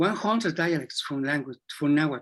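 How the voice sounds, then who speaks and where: On a very clean recording with a silent background, a man with a Spanish accent talks at a moderate pace with lively intonation. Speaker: psychology professor. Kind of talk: Q&A discussion. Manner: halting.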